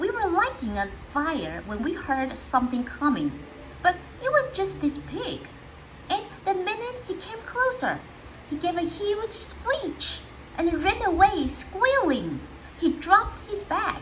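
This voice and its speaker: Using a put-on character voice at an extremely high pitch, a woman talks at a fairly slow pace. Long, frequent pauses break up her speech, and background noise is clear. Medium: read story. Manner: casual, good-natured.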